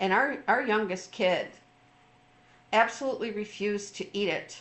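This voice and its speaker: In a room with audible echo, a woman of fairly high pitch speaks at a moderate pace with fairly even intonation. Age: 60s. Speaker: trauma recovery coach. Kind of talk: informal talk. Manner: halting, many fillers.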